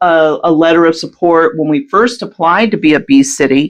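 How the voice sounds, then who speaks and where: A woman speaks at a moderate pace with very even loudness. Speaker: local pollinator program volunteer. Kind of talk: radio interview. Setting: community radio studio during power outage. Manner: hesitant, many fillers.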